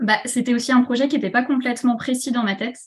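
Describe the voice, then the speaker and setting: A woman speaks in a somewhat breathy voice. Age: 30s. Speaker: shop owner and entrepreneur. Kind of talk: interview. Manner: hesitant, many fillers.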